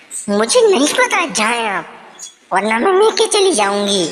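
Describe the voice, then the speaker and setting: Using a cartoonish character voice, a woman speaks at a fairly slow pace and a fairly high pitch. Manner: bossy, demanding.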